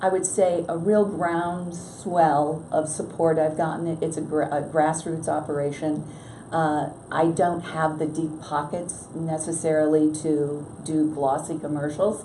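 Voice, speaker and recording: A woman with an American accent speaks at a fairly slow pace in a very deep, low pitch with monotone, flat intonation, amid audible room echo and noticeable background noise. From western New York (Batavia). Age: 60s. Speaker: congressional candidate. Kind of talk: interview. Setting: newspaper office.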